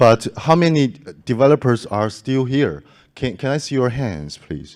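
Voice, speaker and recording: A man with a non-native accent, talking at a moderate pace over a quiet background. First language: not English. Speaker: conference organizer giving closing remarks. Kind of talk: closing speech at conference. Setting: conference stage with audience. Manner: halting, many fillers and restarts.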